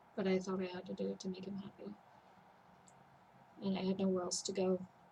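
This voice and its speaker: Soft-spoken and flat in intonation, a woman at a medium pitch talks with long, frequent pauses amid noticeable background noise. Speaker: vlogger in mental health recovery. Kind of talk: personal vlog testimony.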